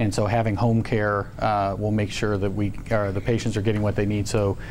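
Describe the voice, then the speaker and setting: A man talks at a fairly quick pace in a fairly low pitch. His intonation is monotone and flat, and audible room echo surrounds the voice. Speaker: hospital executive and surgeon. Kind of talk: presentation at staff town hall meeting. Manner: fast; halting, many fillers.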